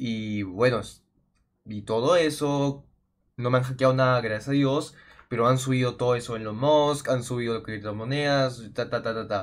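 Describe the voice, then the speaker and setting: Against a quiet background, a man speaks at a moderate pace with fairly even intonation. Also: medium pitch for a man. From Peru. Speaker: gaming youtuber. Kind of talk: casual vlog talk to viewers. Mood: worried, telling about hack. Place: home room.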